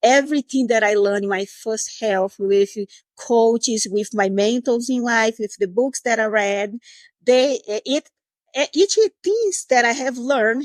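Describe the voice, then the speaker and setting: A fairly slow delivery in a Portuguese accent, with ordinary pitch variation and a dry, close sound with no echo. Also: woman. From Brazil, Recife. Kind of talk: podcast interview.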